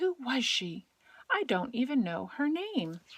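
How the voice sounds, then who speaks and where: A woman uses a put-on character voice pitched high. She speaks at a fairly slow pace with very wide pitch swings. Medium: read story.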